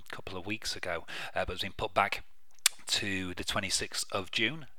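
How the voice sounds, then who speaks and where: Relaxed yet bright and sharp in tone, a man talks at a fairly quick pace. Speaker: radio host. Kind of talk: radio dj patter. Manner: relaxed, chatty, casual.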